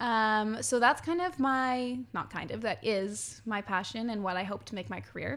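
At a moderate pace with hardly any pauses, a woman with a Western Canadian accent speaks at a fairly high pitch and with lively intonation, on a very clean recording with a silent background. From Quesnel, British Columbia, Canada. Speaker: musical theatre actress. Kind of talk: casual interview. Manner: animated.

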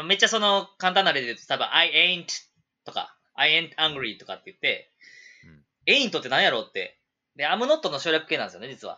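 On a very clean recording with a silent background, a man talks at a fairly quick pace with big swings in loudness. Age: 30s. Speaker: English school owner, former teacher. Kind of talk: casual chat.

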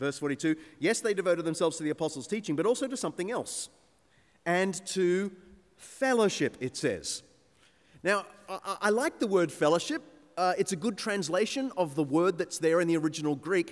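A man with a high pitch and an Australian accent speaks at a fairly quick pace with lively intonation, on a very clean recording with a silent background. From Sydney North Shore, Australia. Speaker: preacher and church historian. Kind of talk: sermon.

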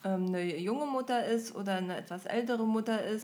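This is a plain, everyday voice, a woman's, at a fairly high pitch. She speaks at a fairly quick pace with ordinary pitch variation. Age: 20s. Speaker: podcast host. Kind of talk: casual chat.

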